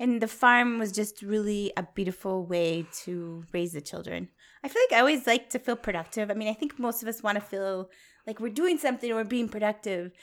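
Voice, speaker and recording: A woman's fairly high-pitched, unremarkable speaking voice with an American accent, ordinary pitch variation and a fairly quick pace. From Wisconsin. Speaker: farmer and grazing educator. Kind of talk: interview. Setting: at her farmhouse.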